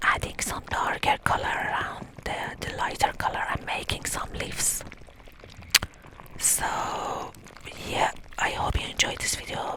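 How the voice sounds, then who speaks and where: Whispering at a fairly slow pace with long, frequent pauses, the voice sits over noticeable background noise. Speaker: watercolor painter and ASMR creator. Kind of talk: casual talk to camera, teaching tips. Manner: casual, explanatory, with hesitations.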